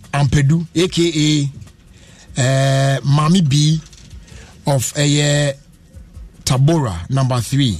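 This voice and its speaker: A man with a Ghanaian accent, fairly high in pitch with ordinary variation, somewhat breathy, at a very slow pace with long, frequent pauses and very even loudness. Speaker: radio host. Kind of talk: live radio show hosting with ads and interviews. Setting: studio.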